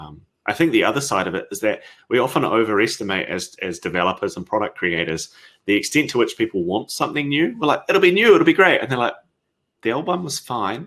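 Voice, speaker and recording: A man with a New Zealand accent speaks in a bright, sharp tone with very wide pitch swings on a very clean recording with a silent background. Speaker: software company founder. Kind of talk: conference Q&A. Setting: virtual conference. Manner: hesitant, many fillers.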